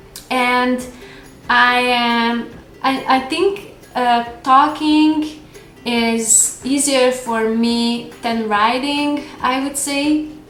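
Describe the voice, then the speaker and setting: Music plays behind a woman speaking at a very slow pace. Her pitch is high, her intonation fairly even, and room echo is audible. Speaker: lifestyle vlogger. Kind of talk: casual vlog Q&A. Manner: hesitant with fillers.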